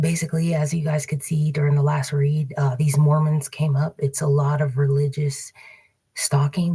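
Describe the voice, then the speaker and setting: The voice is whispering. It moves at a fairly quick pace. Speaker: tarot card reader livestreamer. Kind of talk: casual livestream monologue. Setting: public library computer. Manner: halting, many fillers.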